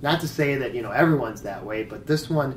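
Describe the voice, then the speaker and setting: There is audible room echo as a man talks with fairly even intonation. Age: 40s. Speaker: fanzine creator. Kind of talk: interview. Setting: horror convention.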